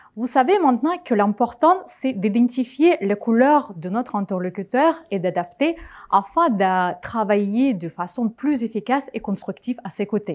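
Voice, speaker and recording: Her fairly high voice swings very widely in pitch. The woman speaks at a fairly slow pace with a non-native accent. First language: not French (speaking French). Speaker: conference speaker, project manager. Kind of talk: conference talk.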